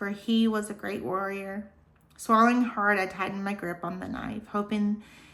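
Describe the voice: Plain reading aloud, intonation kept fairly even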